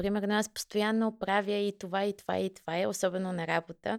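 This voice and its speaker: This woman has a plain, everyday voice at a medium pitch. She speaks at a fairly quick pace with fairly even intonation. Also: dry, close sound with no echo. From Bulgaria, Kyustendil. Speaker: marketing manager. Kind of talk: interview.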